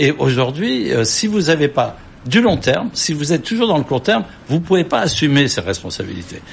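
A man's fairly high voice moves through very wide pitch swings as he talks at a moderate pace. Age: 70s. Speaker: company chairman. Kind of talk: studio interview.

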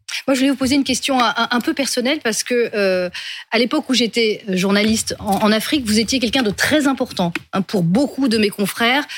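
In an ordinary speaking voice, a woman talks at a fairly quick pace with a fairly high pitch, ordinary pitch variation and very even loudness. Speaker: panel journalist. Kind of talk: interview.

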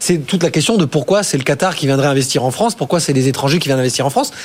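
Amid noticeable background noise, a man talks with lively intonation. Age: 40s. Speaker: investment platform co-founder. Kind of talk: studio debate.

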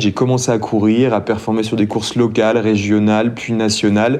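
A man at medium pitch and moderate pace, with audible room echo. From France, city-raised. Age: 20s. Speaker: champion trail runner. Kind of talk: podcast interview.

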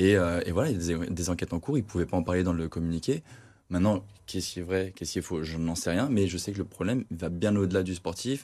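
Against a quiet background, a man talks very fast in a very deep, low voice with a dark, mellow tone and ordinary pitch variation. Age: 30s. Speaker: football supporter. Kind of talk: casual sports discussion.

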